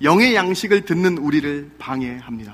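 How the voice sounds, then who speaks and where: This man's voice sits at a high pitch. He uses lively intonation. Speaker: pastor. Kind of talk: sermon. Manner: fast.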